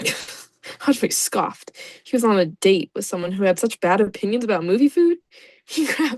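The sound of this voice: An unforced reading voice with lively intonation comes through over a quiet background.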